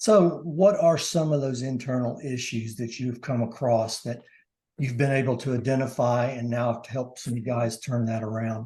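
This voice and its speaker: With a dark, mellow tone and a somewhat breathy quality, a man speaks at a moderate pace and medium pitch, keeping his intonation fairly even. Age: 60s. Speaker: podcast host. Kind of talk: interview conversation.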